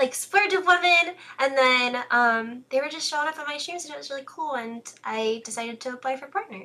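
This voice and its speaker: A woman's high-pitched, raised and projected voice, bright and sharp in tone, fairly quick, with lively intonation and big swings in loudness. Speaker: streamer. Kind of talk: interview.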